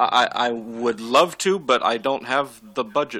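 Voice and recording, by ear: With ordinary pitch variation, the speaker is reading aloud in a natural voice.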